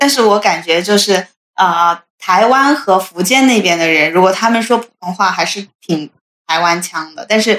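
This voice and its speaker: Here is a woman with an ordinary speaking voice. Her pitch varies in an ordinary way. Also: medium pitch for a woman, moderate pace. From Hunan. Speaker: office worker. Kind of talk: casual chat.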